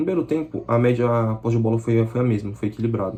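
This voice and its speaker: A man's somewhat breathy voice with a dark, mellow tone at a very fast pace. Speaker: football fan channel presenter. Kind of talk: solo match analysis vlog. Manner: casual, conversational.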